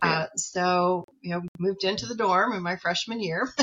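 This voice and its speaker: A woman with a medium pitch speaks in an ordinary speaking voice. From US Midwest, rural farm community. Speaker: psychologist and professor. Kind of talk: interview conversation.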